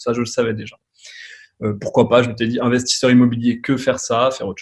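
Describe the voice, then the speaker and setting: Very fast and somewhat breathy, the man's speech rushes ahead. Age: 30s. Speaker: advertising agency owner, former physiotherapist. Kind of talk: podcast interview. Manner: casual, hesitant with many fillers.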